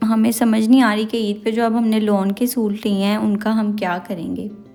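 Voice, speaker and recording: The woman's intonation stays monotone and flat. Her voice is fairly high. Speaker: vlogger. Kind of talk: shopping vlog.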